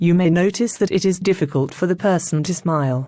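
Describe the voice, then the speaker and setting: A woman speaks in a British accent at a moderate pace, her pitch medium and her tone dark and mellow. The recording is very clean, with a silent background. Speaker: stroke charity representative. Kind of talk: scripted educational interview answer.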